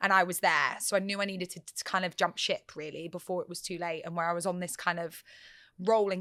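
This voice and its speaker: With an English accent, a woman at medium pitch talks at a very fast pace in a bright, sharp tone, her loudness swinging widely, on a very clean recording with a silent background. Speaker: radio presenter. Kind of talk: interview. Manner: animated.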